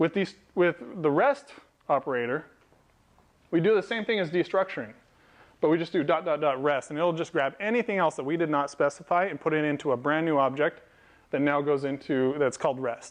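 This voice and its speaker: A fairly high-voiced man at a fairly quick pace over a quiet background. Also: ordinary pitch variation. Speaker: software developer and meetup speaker; speaker. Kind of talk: technical talk to a live audience. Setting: meetup event with audience. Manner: fast. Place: meeting room. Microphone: lapel.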